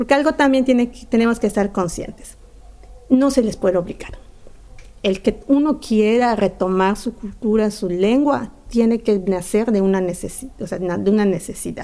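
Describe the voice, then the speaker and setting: In a plain, everyday voice, a woman with a fairly high pitch speaks at a moderate pace with ordinary pitch variation. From Yucatán, Mexico. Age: 40s. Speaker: community theatre director and actress. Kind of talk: interview. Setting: community theatre venue.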